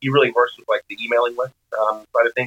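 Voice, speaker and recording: This is a man speaking with an American accent. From Arizona. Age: 30s. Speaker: chef. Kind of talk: casual chat.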